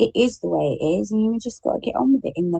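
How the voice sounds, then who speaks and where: A woman with an English accent speaks in a fairly low, dark, mellow voice that is somewhat breathy. Her pitch swings very widely, and the sound is dry and close with no echo. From England. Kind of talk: casual chat. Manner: proper, refined.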